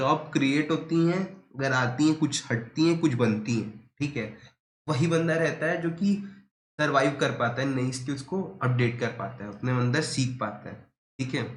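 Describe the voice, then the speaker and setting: Audible room echo surrounds a man's somewhat breathy, medium-pitched voice with ordinary pitch variation. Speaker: teacher. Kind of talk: lecture. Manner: casual, conversational.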